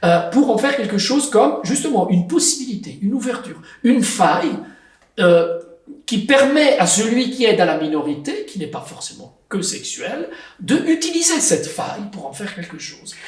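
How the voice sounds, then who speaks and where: A high-pitched man with an Italian accent at a moderate pace, very wide pitch swings and big swings in loudness, with audible room echo and noticeable background noise. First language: Italian (speaking French). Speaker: writer and translator. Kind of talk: interview.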